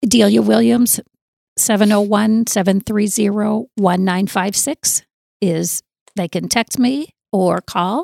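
A woman speaks very slowly at a medium pitch with an American accent and ordinary pitch variation. Her tone is dark and mellow, and the sound is dry and close with no echo. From US Southwest (southern Arizona). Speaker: church ministry leader. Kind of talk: interview.

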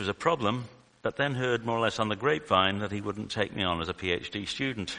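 Here a man talks with a fairly low pitch and a bright, sharp tone. His pace is fairly quick, and his pitch variation is ordinary. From UK. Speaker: lay preacher, retired statistician. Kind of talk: sermon. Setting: church.

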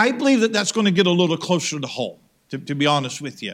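His intonation is lively. The man speaks in an American accent. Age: 50s. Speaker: pastor. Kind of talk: sermon. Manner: repetitive false starts.

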